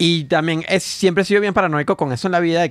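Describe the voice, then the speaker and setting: Words pour out of a man at a very fast pace. The sound is dry, with no echo. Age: 30s. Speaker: comedian. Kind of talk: casual chat. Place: studio. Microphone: studio mic.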